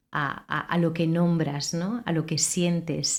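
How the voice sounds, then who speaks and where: In a very clean recording with a silent background, a woman speaks fairly slowly in a plain, everyday voice with a fairly low pitch. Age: 40s. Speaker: radio host. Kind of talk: interview.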